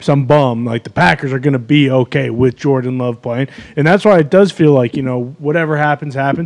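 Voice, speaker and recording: A man's unremarkable speaking voice, fairly high in pitch, with ordinary pitch variation and a fairly quick pace. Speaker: show panel member. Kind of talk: casual sports talk chat.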